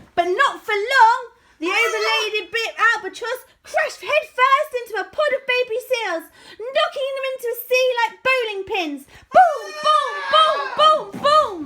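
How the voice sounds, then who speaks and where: In a squeaky, put-on character voice, the speaker goes at a moderate pace with big swings in loudness. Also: woman, extremely high pitch for a woman. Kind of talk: bedtime story. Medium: read story.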